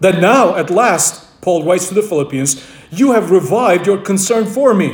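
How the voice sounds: Text read in a natural reading voice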